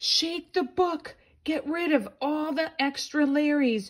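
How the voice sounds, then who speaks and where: A woman puts on a character voice, pitched high and delivered at a fairly slow pace. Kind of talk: bedtime story. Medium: read story. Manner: excitable, playful.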